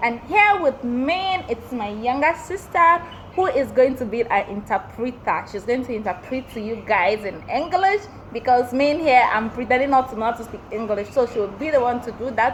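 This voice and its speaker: A woman's high-pitched voice with lively intonation at a moderate pace, against noticeable background noise. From Nigeria, Benue State (Tiv). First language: Tiv. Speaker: YouTuber, language teacher. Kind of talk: tutorial.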